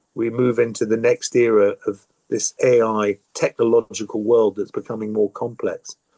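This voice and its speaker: A man in an ordinary speaking voice talks at a moderate pace with ordinary pitch variation, recorded dry and close with no echo. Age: 60s. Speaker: business executive, university chancellor. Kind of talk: podcast interview.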